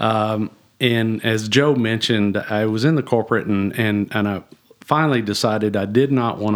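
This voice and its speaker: In a very clean recording with a silent background, a man speaks at a moderate pace with fairly even intonation and a strong South Texas accent. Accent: strong Southern Texan. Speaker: executive pastor. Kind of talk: casual chat.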